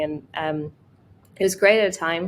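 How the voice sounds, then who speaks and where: The speaker is a woman. She has a Russian accent. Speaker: product designer. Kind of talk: interview. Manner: halting.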